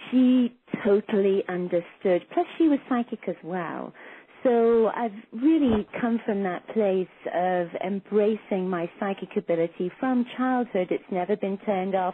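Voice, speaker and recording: In an English accent, a woman speaks at a medium pitch with ordinary pitch variation. Her pace is fairly slow. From England. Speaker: psychic and intuition teacher. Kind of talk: interview.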